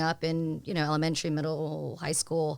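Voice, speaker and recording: On a very clean recording with a silent background, a woman with a Vietnamese accent speaks fairly quickly in a fairly low pitch. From Pensacola, Florida. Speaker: community volunteer and mentor. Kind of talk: podcast interview.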